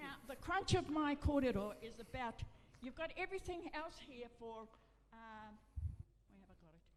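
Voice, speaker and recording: A woman's high voice with lively intonation, big swings in loudness, long and frequent pauses, a moderate pace and audible room echo. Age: 80s+. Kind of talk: public meeting address. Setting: meeting room with audience. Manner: halting.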